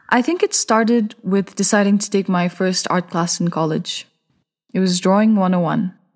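Somewhat breathy speech with fairly even intonation at a moderate pace. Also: woman, medium pitch for a woman. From Bhutan. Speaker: painter. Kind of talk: scripted narration.

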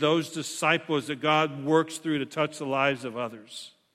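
A man speaks in a plain, everyday voice at a moderate pace, his fairly high pitch following fairly even intonation. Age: 60s. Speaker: pastor. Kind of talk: sermon. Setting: church.

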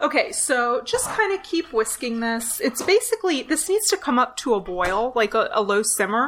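A calm tone at a moderate pace, with very wide pitch swings, hardly any pauses and noticeable background noise. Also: woman, high pitch for a woman. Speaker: podcast co-host. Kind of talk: tutorial; casual chat. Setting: remote call.

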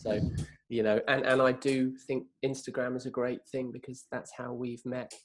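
With little pitch movement, a man speaks at a medium pitch and a moderate pace.

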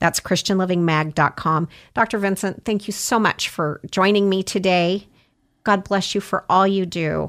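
An ordinary speaking voice from a woman at medium pitch, moderate in pace, with fairly even intonation and a very clean recording with a silent background. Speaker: magazine publisher and radio host. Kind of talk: casual interview.

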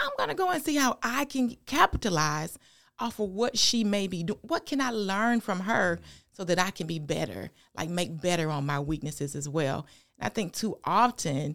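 With a Southern US accent, a woman speaks at a moderate pace and medium pitch with lively intonation, in a very clean recording with a silent background. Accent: Southern US (Georgia). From US South, rural Georgia. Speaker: pastor. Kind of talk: casual interview.

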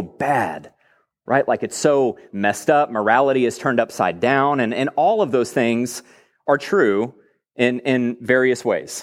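A man with an American accent at a medium pitch and moderate pace, ordinary pitch variation, very clean recording with a silent background. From Texas. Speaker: pastor. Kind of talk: sermon. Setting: church.

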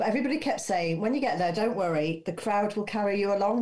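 Over noticeable background noise, a woman speaks at medium pitch with lively intonation. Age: 50s. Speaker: first-time marathon runner. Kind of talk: casual chat.

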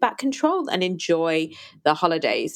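The speaker has a plain, everyday voice with lively intonation. The pace is moderate. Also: woman. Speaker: podcast host and eating disorder recovery coach. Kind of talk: solo podcast monologue. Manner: warm, conversational, grateful.

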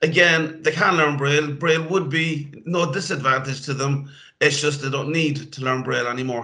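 At a moderate pace, a man speaks with a bright, sharp tone, fairly high pitch and fairly even intonation. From Ireland, Cork. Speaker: IT trainer for blind people. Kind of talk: interview.

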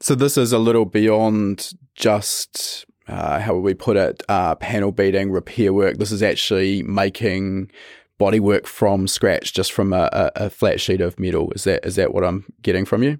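Delivered in a plain, everyday voice at a moderate pace, the fairly even intonation comes through in a dry, close, echo-free recording with a very clean, silent background. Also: man, fairly low pitch for a man. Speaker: podcast host. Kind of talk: interview podcast.

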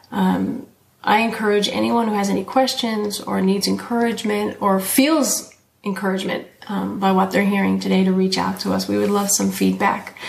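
A woman at a moderate pace, with audible room echo. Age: 40s. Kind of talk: casual faith conversation.

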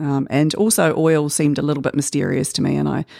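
A woman with a very deep, low pitch speaks in a dark, mellow tone and fairly even intonation. The recording is very clean, with a silent background. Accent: New Zealand. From New Zealand, Auckland (Waitakere). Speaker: artist. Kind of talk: interview. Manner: hesitant, with many fillers.

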